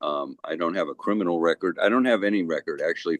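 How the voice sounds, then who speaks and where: A man is speaking. The sound is dry and close, free of any echo. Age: 70s. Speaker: financial advisor. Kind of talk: casual chat.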